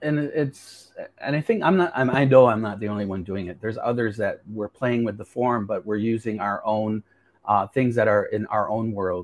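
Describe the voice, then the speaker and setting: Here a man talks at a moderate pace in a plain, everyday voice, with an American accent. His pitch is medium with ordinary variation, and the sound is dry and close with no echo. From US, western New York (Seneca territory). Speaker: filmmaker. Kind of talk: interview conversation.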